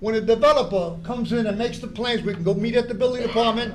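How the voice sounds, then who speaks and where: This loud man talks at a moderate pace with an extremely high pitch. The room echo is audible. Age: 80s+. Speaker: public commenter at school board meeting. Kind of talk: public comment speech. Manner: animated.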